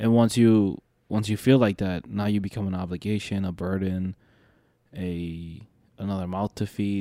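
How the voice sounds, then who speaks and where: The voice, in an American accent, has a dark, mellow tone and a dry, close sound with no echo. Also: man, fairly low pitch for a man, fairly even intonation, moderate pace. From Detroit, Michigan. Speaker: podcast co-host, videographer. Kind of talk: casual chat.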